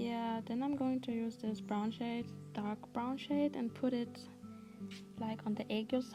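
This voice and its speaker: Over music in the background, a woman with a fairly high pitch talks at a moderate pace. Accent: non-native. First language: not English. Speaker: makeup tutorial creator. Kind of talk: makeup tutorial talk to camera. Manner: casual.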